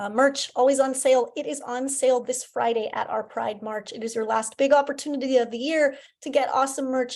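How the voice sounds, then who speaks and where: A woman talks at a fairly quick pace in a high pitch. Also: ordinary pitch variation, hardly any pauses, very clean recording, silent background. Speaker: school parent association leader. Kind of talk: meeting presentation. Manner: fast.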